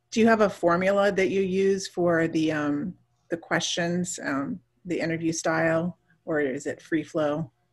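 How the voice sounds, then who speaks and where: Fairly slow delivery in an unremarkable speaking voice. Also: woman, fairly low pitch for a woman, ordinary pitch variation. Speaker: podcast host. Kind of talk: casual interview chat. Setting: video call.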